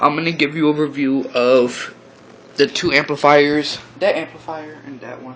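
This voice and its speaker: The voice keeps a fairly even intonation over noticeable background noise. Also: man. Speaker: amateur gear reviewer. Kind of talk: product review. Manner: halting, many fillers.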